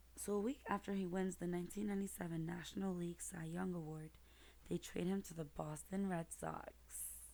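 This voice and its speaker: A soft-spoken woman talks at a moderate pace in a gentle tone. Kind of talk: soft-spoken picture book reading, ASMR. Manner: soft-spoken, gentle.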